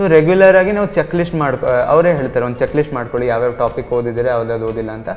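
A man's lively intonation over light background noise. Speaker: student, medical entrance exam topper. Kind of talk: interview answer. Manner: soft-spoken. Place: classroom. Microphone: handheld.

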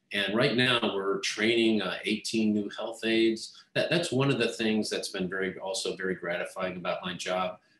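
A man talking with hardly any pauses, in audible room echo. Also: medium pitch for a man, ordinary pitch variation, moderate pace. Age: 60s. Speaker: health minister. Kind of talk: interview. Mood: warm, reflective. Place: office. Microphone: video call.

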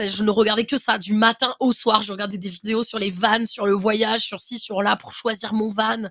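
Delivered at a moderate pace with hardly any pauses, the speech stays in a monotone, flat intonation. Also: woman. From France, Cévennes. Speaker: content creator, van traveller. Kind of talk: casual chat. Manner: halting.

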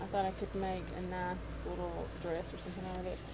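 Noticeable background noise is audible. A woman speaks over it at a fairly quick pace. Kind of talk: casual vlog chat. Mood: cheerful, amused. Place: home room. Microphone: phone near.

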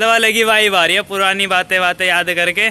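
With light background noise behind him, a man speaks in a raised, projected voice at a moderate pace with fairly even intonation. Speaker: vlogger. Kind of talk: casual vlog chat. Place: street. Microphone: phone near.

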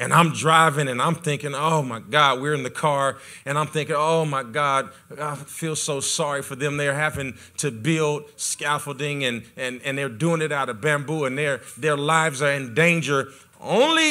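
Bright, sharp male voice with fairly even intonation, moderate pace and a quiet background. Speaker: pastor. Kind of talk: sermon. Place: church. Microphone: handheld.

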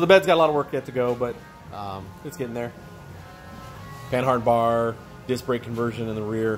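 Male speaker at a fairly quick pace with clear music in the background. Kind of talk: casual walkaround commentary. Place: garage. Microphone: phone near.

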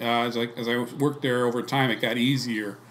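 An American accent over light background noise. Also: man. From Ohio, Cleveland area; Ohio. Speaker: former salt mine worker; interviewee. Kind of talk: interview. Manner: halting. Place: home room. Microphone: studio mic.

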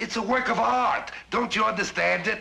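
A man puts on a character voice that sits high for a man, with a bright, sharp tone, vocal fry and ordinary pitch variation. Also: moderate pace.

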